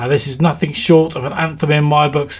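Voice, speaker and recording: A man speaks with a somewhat breathy voice. His pitch sits fairly high. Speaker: radio host. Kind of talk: radio DJ patter introducing tracks. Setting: radio studio, live broadcast. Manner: upbeat, hyped, enthusiastic; fluent with filler 'uh'.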